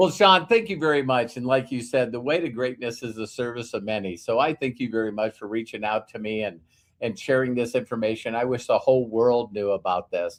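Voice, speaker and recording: Against a quiet background, a man with an American accent talks at a fairly quick pace and medium pitch, with ordinary pitch variation and hardly any pauses. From US Midwest, North Dakota. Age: 60s. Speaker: business mentor. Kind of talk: interview. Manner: repetitive, halting starts.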